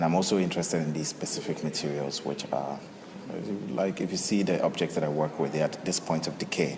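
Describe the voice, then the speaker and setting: A man with a very deep, low voice talks at a very fast clip in fairly even tones over noticeable background noise. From Ghana. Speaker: contemporary artist. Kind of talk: interview. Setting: art gallery. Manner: halting.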